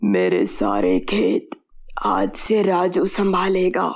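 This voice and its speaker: A woman's raspy, cartoonish character voice at a very slow pace. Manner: calm, authoritative.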